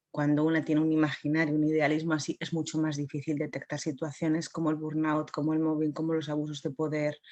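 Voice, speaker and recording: A soft-spoken woman with a very deep, low pitch and a dark, mellow tone, at a very fast pace over a quiet background. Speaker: psychologist giving a conference talk. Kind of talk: conference talk.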